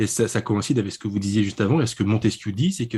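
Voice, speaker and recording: A man with a medium-pitched, dark and mellow voice speaks somewhat breathily, his pitch varying in an ordinary way. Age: 30s. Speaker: publisher and writer. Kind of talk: interview about a book. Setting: internet call.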